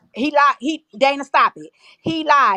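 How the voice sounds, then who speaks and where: Projected and raised, a woman's voice carries a bright, sharp tone. Her pitch sits high. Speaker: live stream panelist. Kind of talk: casual chat. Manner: loud.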